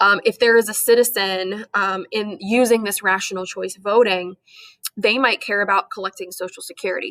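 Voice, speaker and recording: Her tone is bright and sharp, and this woman talks fairly quickly with fairly even intonation. The sound is dry and close, without echo. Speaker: high school government teacher. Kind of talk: lecture. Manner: fast.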